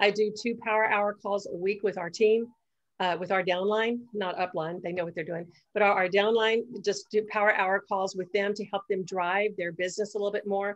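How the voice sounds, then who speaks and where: Against a quiet background, a woman with an American accent speaks at medium pitch in a monotone, flat intonation. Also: moderate pace. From Texas. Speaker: network marketing team leader. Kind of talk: mastermind group call presentation.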